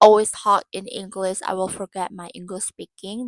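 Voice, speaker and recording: In an Indonesian accent, a woman talks at a moderate pace and medium pitch with fairly even intonation, the sound dry and close with no echo. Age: 20s. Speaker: vlogger and university student. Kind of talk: casual vlog monologue. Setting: dim room lit by warm lamp. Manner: halting, searching for words.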